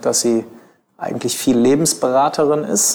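Moderate-paced speech from a man at medium pitch, with ordinary pitch variation. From Germany, Bielefeld (East Westphalia). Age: 30s. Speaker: lawyer and in-house counsel. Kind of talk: interview conversation. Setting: office of his employer. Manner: hesitant, many filler sounds.

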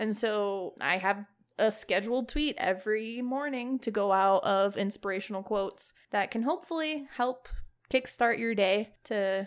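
Over a quiet background, a woman with a fairly high pitch and ordinary pitch variation speaks in a plain, everyday voice. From Chicago, Illinois. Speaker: gaming podcast co-host and streamer. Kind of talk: casual chat.

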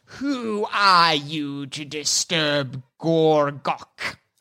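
A hissing put-on character voice of middle pitch moves at a very slow pace. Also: very clean recording, silent background.

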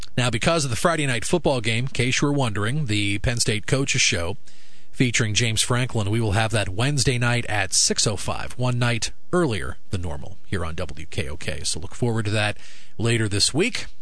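Over noticeable background noise, a man talks at a moderate pace in a medium pitch with lively intonation. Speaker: radio sports host and announcer. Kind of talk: radio sports news and ad reading.

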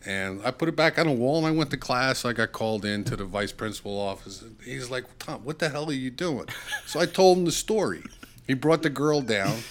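Over noticeable background noise, a man talks at a fairly quick pace and a medium pitch with lively intonation. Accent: New Jersey. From New Jersey. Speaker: saxophonist. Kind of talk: casual chat.

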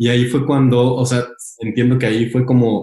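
In a Mexican accent, a man with a medium pitch and a dark, mellow, somewhat breathy tone speaks at a moderate pace with monotone, flat intonation. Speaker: podcast host. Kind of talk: interview.

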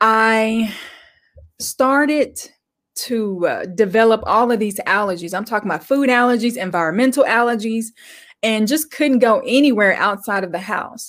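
A woman has an ordinary speaking voice, fairly high in pitch, with ordinary pitch variation at a moderate pace in a very clean recording with a silent background. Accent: American. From Arkansas, US. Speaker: guest. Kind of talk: interview.

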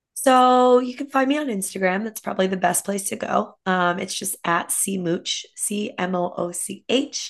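A normal speaking voice carries on at a moderate pace with hardly any pauses and ordinary pitch variation. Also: woman, medium pitch for a woman. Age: 30s. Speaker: fitness coach and entrepreneur. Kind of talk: casual interview chat.

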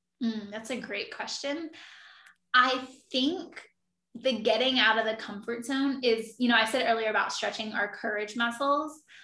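The tone is bright and sharp, with fairly even intonation. Speech moves at a moderate pace against audible room echo. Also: woman, fairly high pitch for a woman. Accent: Philadelphia. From South Jersey, near Philadelphia. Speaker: travel writer. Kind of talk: casual interview chat.

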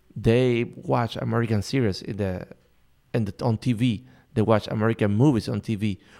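Speaking with a Spanish accent, a man has a dark, mellow tone on a very clean recording with a silent background. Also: medium pitch for a man, ordinary pitch variation, moderate pace. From Cuba. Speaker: photojournalist. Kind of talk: interview.

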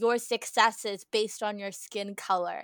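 A woman with an American accent, a bright, sharp tone and a fairly slow pace, on a very clean recording with a silent background. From New Jersey. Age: 20s. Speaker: college student podcast co-host. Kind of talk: casual chat.

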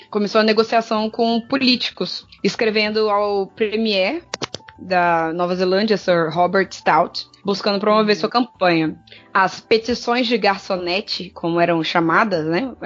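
A woman speaks fairly slowly at a medium pitch with very even loudness. Music can be heard in the background. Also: ordinary pitch variation. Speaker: podcast co-host. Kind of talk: reading research notes aloud; casual chat.

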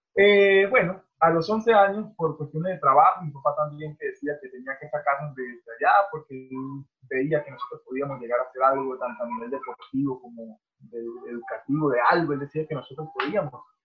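Over music in the background, a man speaks at a moderate pace with a fairly high pitch. His intonation is lively, and his loudness swings widely. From Venezuela, Barinas. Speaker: professional volleyball player. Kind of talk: casual interview.

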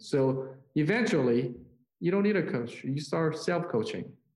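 The voice has a dark, mellow tone, with audible room echo. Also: man. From South Korea. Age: 40s. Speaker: business leader and pastor. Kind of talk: interview. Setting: call.

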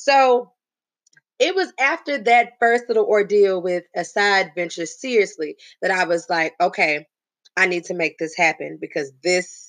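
In an animated tone with lively intonation, a woman with an American accent speaks at a moderate pace and a medium pitch over a quiet background. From Texas, Huntsville near Houston. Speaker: podcast host, business coach. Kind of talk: solo motivational podcast monologue.

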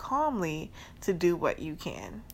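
A woman speaks in a New Orleans accent. Her tone is animated. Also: very clean recording, silent background. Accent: New Orleans Southern US. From US South, New Orleans, Louisiana. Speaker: podcast host. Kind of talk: casual solo podcast monologue. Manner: animated, frequent laughter.

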